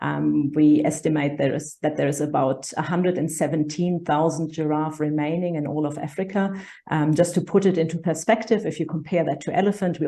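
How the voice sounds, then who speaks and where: Speaking with a German accent, a woman with a very deep, low pitch and a dark, mellow tone talks at a moderate pace with ordinary pitch variation. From Germany. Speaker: conservation charity director. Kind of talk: interview.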